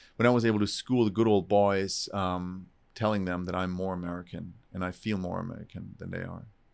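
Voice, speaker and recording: A man with a German accent speaks at a fairly quick pace in a fairly low pitch, on a very clean recording with a silent background. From southern Germany. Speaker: entrepreneur, real estate investor. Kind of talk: podcast interview. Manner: animated.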